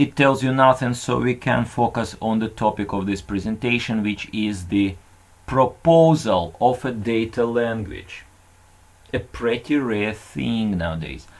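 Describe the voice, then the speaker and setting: At a fairly slow pace, a man speaks at a medium pitch with ordinary pitch variation on a very clean recording with a silent background. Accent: non-native. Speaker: conference presenter. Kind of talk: conference talk.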